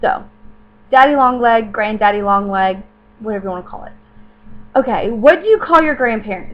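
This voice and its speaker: A woman in a Southern US accent speaks with very wide pitch swings. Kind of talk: casual talk to camera.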